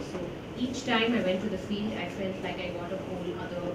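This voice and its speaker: Loud background noise and audible room echo surround the clip. A woman speaks at a moderate pace. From South India. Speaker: journalist and author. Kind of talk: public interview about a book. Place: hall.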